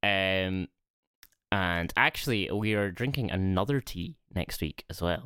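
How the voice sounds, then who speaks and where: A man with a Scottish accent speaks at a very deep, low pitch in a bright, sharp tone. His pace is fairly slow, with ordinary pitch variation. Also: dry, close sound with no echo. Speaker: podcast co-host. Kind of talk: casual chat. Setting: remote call over the internet. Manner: speaking quietly.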